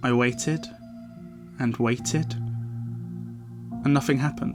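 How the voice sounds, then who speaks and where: Music plays in the background. A man is speaking over it. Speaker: horror story narrator. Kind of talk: horror story narration. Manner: slight lisp.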